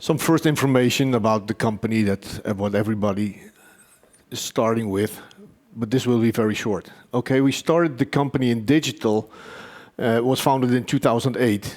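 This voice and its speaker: A man with an ordinary speaking voice talks fairly quickly, his medium pitch varying in an ordinary way. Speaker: company executive presenting his technology. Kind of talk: conference presentation.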